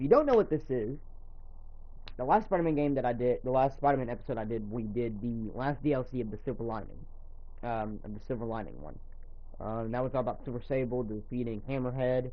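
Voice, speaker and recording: A man with a medium pitch and ordinary pitch variation talks at a very fast pace amid audible room echo. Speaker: gaming streamer. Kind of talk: live stream commentary. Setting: home live stream. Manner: speaking out loud, not whispering; casual with many fillers.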